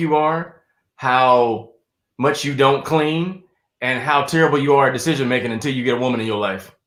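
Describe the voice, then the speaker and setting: The speaker has a Southern US accent and talks at a moderate pace with ordinary pitch variation. The recording is very clean, with a silent background. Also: man. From South Carolina. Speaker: stand-up comedian and actor. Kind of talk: casual interview chat.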